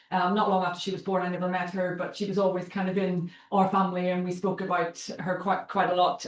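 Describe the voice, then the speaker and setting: Speaking at a moderate pace and medium pitch, a woman talks in a Northern Irish accent with monotone, flat intonation. The room echo is audible, and there is noticeable background noise. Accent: Northern Irish (Belfast). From Northern Ireland, Belfast. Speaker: charity chief executive, guest speaker. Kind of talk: seminar talk. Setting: university seminar room, hybrid event.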